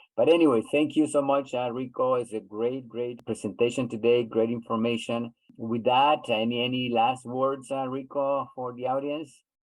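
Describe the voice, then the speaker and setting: A man's monotone, flat intonation with hardly any pauses. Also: medium pitch for a man, moderate pace. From Honduras. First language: Spanish. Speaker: webinar host. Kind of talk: webinar discussion. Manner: halting, many repeats.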